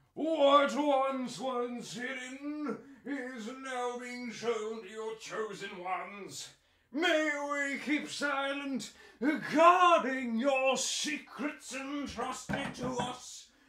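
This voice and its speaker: In a put-on character voice pitched extremely high, a man draws his words out very slowly. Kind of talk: prayer reading. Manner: solemn, reverent.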